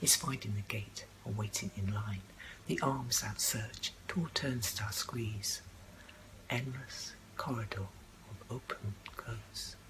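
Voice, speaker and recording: A woman talks very slowly while noticeable background noise runs underneath. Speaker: poet. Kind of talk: spoken word poetry reading. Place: home room. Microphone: webcam.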